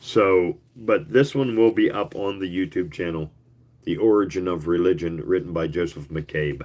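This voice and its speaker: At a moderate pace, a man mumbles in a very deep, low voice with lively intonation. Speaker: YouTuber reading old booklets. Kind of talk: casual chat. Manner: mumbling; hesitant, many fillers.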